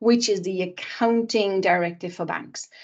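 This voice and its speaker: At a fairly quick pace, a woman talks in an unremarkable speaking voice at a medium pitch. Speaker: sustainability consultant. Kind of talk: webinar presentation.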